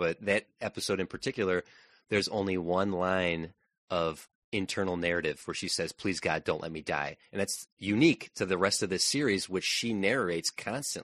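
Over a quiet background, a man with very deep, low pitch speaks at a moderate pace with ordinary pitch variation, the sound dry and close with no echo. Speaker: podcast co-host and reviewer. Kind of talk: casual review discussion.

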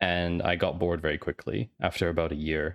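Moderate tempo from a man, on a very clean recording against a silent background. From Canada and Switzerland. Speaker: data analyst and startup founder. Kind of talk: interview.

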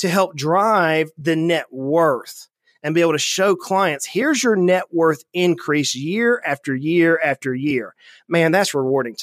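A man speaks at a high pitch with a Southern US accent and ordinary pitch variation. The recording is very clean, with a silent background. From US South, South Georgia. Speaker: financial advisor, firm founder. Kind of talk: interview conversation.

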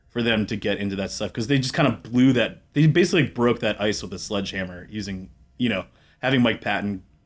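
In a very clean recording with a silent background, a man talks at a fairly quick pace in an ordinary speaking voice with ordinary pitch variation. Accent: American. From Washington DC area. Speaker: musician and music venue worker. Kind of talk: casual chat.

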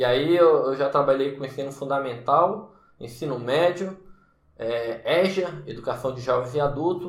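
A man at a fairly slow pace, fairly high in pitch with ordinary pitch variation, amid audible room echo and noticeable background noise. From Brasília, Brazil. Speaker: math teacher and YouTuber. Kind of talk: casual vlog monologue. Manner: casual, frequent repetitions and fillers.

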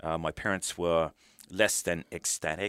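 A man with a British accent speaks at a moderate pace in a very deep, low voice. The sound is dry and close with no echo, a very clean recording over a silent background. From United Kingdom. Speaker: retired military officer and author. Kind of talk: interview. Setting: studio.

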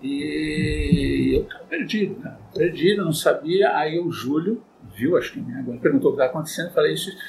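Medium-tempo talking from a man, clearly present background noise behind. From Santos, São Paulo coast, Brazil. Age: 60s. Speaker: band conductor and music teacher. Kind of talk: casual interview. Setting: in-person studio recording.

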